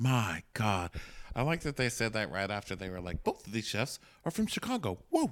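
A man with an American accent and a normal speaking voice talks at a medium pitch and moderate pace with lively intonation, on a very clean recording with a silent background. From Texas. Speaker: podcast host. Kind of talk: casual chat. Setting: hotel room.

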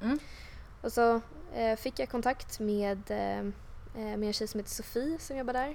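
A woman's fairly high voice at a fairly slow pace, with ordinary pitch variation and long, frequent pauses. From Stockholm suburbs (Huddinge). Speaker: tech entrepreneur. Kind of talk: interview. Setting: office. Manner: hesitant, many fillers.

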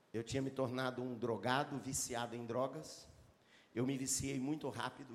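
Amid audible room echo, a man with a medium pitch speaks at a fairly quick pace in an animated tone. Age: 60s. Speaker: pastor. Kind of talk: sermon. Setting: church with live congregation.

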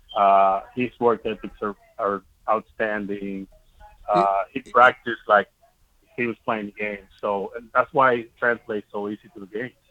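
A fairly low-pitched man in a flat monotone at a moderate pace, with big swings in loudness and music in the background. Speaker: minor league baseball manager. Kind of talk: casual interview.

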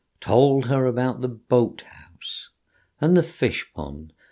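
Over a quiet background comes plain reading aloud.

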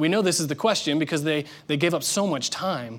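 A man with an unremarkable speaking voice, ordinary pitch variation and a fairly quick pace, in a very clean recording with a silent background. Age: 30s. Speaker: pastor. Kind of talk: sermon.

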